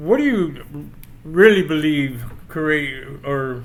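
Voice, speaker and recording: The recording has audible room echo. A man talks with fairly high pitch and ordinary pitch variation. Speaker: podcast host; military veteran. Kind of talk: casual interview chat. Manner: halting, repeats words.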